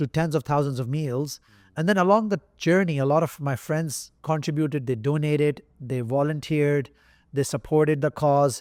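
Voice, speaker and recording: A man with a non-native accent speaks in a fairly high pitch at a moderate pace. His pitch variation is ordinary, and the recording is very clean with a silent background. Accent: non-native accent he once felt insecure about. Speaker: entrepreneur. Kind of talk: interview answer.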